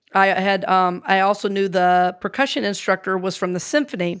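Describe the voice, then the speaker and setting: A woman with an American accent speaks at a medium pitch on a very clean recording with a silent background. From US South, North Carolina and Georgia. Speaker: minister and speaker. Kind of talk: casual chat. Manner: halting.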